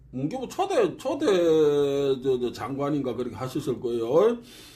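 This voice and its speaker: A man's voice with noticeable background noise. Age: old. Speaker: martial arts researcher. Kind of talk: casual lecture. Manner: halting, many fillers.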